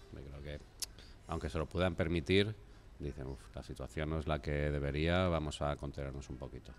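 A man with a Spanish accent speaks at a moderate pace in a very deep, low voice with vocal fry. His pitch varies in an ordinary way over light background noise. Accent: Peninsular Spanish. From Spain. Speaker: craft brewery manager. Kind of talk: beer tasting conversation. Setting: studio. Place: studio. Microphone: studio mic.

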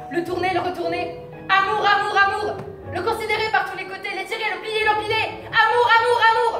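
Over clear music in the background, a woman uses a raised, projected voice at a moderate pace, with audible room echo, big swings in loudness and ordinary pitch variation. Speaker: stage actor. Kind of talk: theatrical monologue and dialogue. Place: stage. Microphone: camera far.

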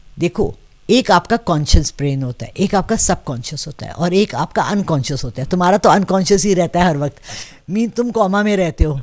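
A woman at a moderate pace, fairly low in pitch, with lively intonation. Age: 60s. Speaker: astro palmist; interviewee. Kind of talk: interview. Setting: seated in front of camera. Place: home room. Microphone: handheld.

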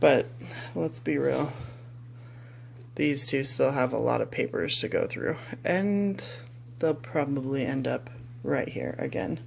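Long, frequent pauses break up the speech over light background noise. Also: fairly slow pace. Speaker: mom vlogger. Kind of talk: casual vlog chat. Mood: pleased, lightly joking. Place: kitchen. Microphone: phone near.

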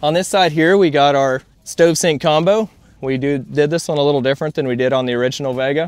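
Speaking at a very fast pace, a man with a fairly high pitch and ordinary pitch variation is heard in a dry sound with no echo. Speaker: trade show vendor. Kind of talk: product walkaround sales pitch. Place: open country.

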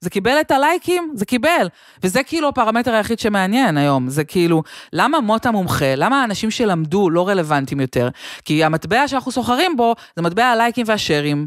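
A woman's voice makes very wide pitch swings. The sound is dry with no echo, over a quiet background. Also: fairly quick pace. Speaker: comedian. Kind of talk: casual chat. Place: home room. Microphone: studio mic.

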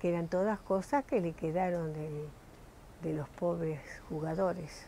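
A woman's fairly low, dark, mellow voice at a fairly slow pace, with ordinary pitch variation and light background noise. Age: 80s+. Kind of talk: interview answer. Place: home room. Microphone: lapel.

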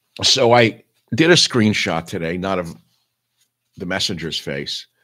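Over a quiet background, a man with a very deep, low voice speaks at a moderate pace. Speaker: online show host. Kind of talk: casual monologue commentary. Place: home room. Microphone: webcam.

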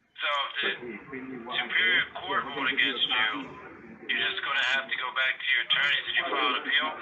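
There is noticeable background noise as a man talks at a fairly quick pace with ordinary pitch variation. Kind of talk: phone conversation. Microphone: phone line.

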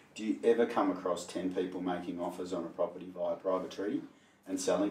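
Audible room echo surrounds a man's very deep, low voice, which is monotone and flat at a fairly quick pace. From Perth, Western Australia. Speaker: auctioneer and interviewer. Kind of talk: interview host questions. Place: meeting room. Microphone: camera far.

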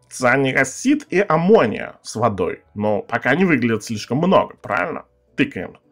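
A man speaks at a moderate pace with a medium pitch and very wide pitch swings. The background is quiet. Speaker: gaming youtuber. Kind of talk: gameplay commentary. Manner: casual, rambling with filler words. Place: home room.

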